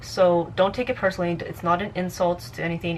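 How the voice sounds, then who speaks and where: A woman at medium pitch and a fairly quick pace, with noticeable background noise. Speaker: vlogger, amateur model. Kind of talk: advice vlog. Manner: fast; casual, halting with fillers.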